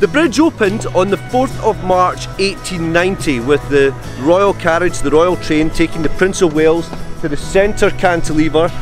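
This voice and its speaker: A man at a fairly high pitch and moderate pace, ordinary pitch variation, dry sound with no echo, clear music in the background. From Scotland. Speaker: local history guide. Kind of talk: documentary interview, talking to camera on location. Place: waterside. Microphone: lapel.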